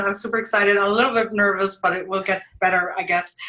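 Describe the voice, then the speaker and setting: With a strong German accent, a woman speaks at a fairly quick pace and fairly high pitch, showing ordinary pitch variation. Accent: thick German. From Germany. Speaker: mixed media artist. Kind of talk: interview.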